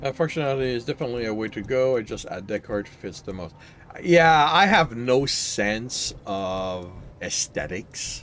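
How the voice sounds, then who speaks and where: With a French Canadian accent, a man speaks with lively intonation and big swings in loudness. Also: medium pitch for a man, moderate pace. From Quebec. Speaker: gaming streamer and novelist. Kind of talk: casual gameplay chat. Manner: halting.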